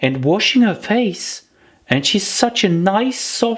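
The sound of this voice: Unforced reading voice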